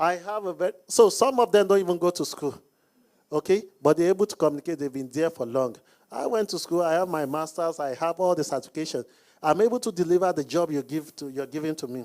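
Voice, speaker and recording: Recorded very cleanly against a silent background, a man with a Nigerian accent and a high pitch speaks at a fairly quick pace with ordinary pitch variation. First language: not English; speaks Hausa, Yoruba. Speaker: business coach. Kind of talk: Q&A panel talk.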